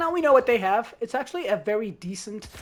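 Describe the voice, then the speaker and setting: A woman talks at a very fast pace in an animated tone, with noticeable background noise behind her. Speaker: gaming content creator. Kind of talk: gameplay commentary tutorial.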